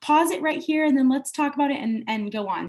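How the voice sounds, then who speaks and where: Her voice is somewhat breathy, with an American accent. The woman's intonation is lively. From US, born in Italy. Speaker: homeschooling parent. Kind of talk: testimonial interview. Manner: casual, many filler words.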